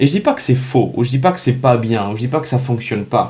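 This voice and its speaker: In a non-native accent, a man talks with an animated tone at medium pitch, somewhat breathy, with ordinary pitch variation and audible room echo. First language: not French (speaking French). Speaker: real estate business coach. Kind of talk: direct-to-camera vlog. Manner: animated, halting with many restarts.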